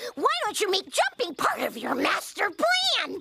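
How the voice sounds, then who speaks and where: This cartoonish character voice runs at an extremely high pitch and a moderate pace. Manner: loud, pushy.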